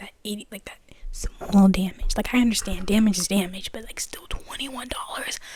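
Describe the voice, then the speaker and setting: Clear background noise accompanies speech delivered at a middling speed. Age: young. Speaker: ASMR youtuber. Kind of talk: casual vent to viewers. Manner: rambling casual speech with many fillers.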